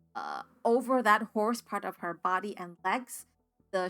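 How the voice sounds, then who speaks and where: Over music in the background, the voice moves at a fairly slow pace with fairly even intonation. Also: woman. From United States, Spanish-speaking immigrant family. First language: Spanish. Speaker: tabletop RPG player and streamer. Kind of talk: solo actual play game narration.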